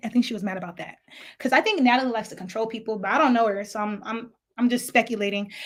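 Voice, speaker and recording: A woman's fairly high, animated voice at a very fast pace, with a slight African accent. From lived in Africa, now US. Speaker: YouTube commentator. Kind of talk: casual storytime vlog.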